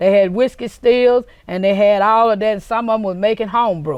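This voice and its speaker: With a Mississippi accent, a woman talks at a fairly high pitch and a fairly quick pace, with ordinary pitch variation against a quiet background. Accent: Southern US, Mississippi. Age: 60s. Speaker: interviewee, local actress. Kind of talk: interview.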